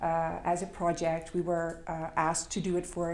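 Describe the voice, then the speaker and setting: There is audible room echo as a woman speaks at a moderate pace. Her pitch is fairly low, and she talks with a Dutch accent. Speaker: complementary currency project worker. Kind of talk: conference presentation. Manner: halting, many fillers.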